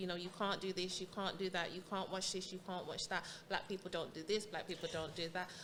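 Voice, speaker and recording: Here is an unremarkable speaking voice from a woman. Her pitch is medium and her intonation fairly even. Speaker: podcast host. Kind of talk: interviewer questions.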